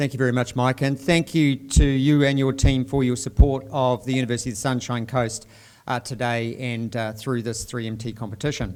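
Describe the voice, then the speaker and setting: With a New Zealand accent, a man speaks at a medium pitch. His pace is fairly quick and his intonation fairly even. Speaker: dean of graduate research. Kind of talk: formal event hosting speech. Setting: university event with audience.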